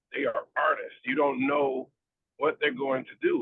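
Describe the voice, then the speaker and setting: He is a man who speaks with an American accent. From US South, Florida (Pensacola). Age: 50s. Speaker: DJ and radio host. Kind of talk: podcast interview.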